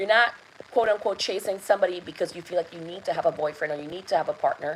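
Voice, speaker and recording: Her voice sits at a fairly low pitch for a woman, and she speaks with a non-native accent. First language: not English. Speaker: love and intuition coach. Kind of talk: live masterclass talk. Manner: hesitant, many fillers.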